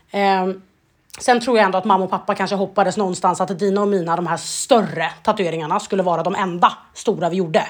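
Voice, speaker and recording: Recorded very cleanly against a silent background, a woman speaks at a very fast pace. Her medium pitch keeps a fairly even intonation. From Sweden. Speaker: podcast co-host. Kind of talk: casual chat.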